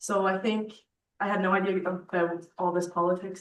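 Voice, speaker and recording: Her medium-pitched voice, a woman's, holds a fairly even intonation. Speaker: youth co-chair. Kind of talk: speech at assembly. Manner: halting; shaky.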